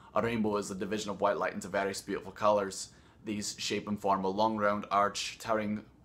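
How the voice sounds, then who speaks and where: A bright, sharp tone at a fairly quick pace. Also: man. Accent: Scottish. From Scotland.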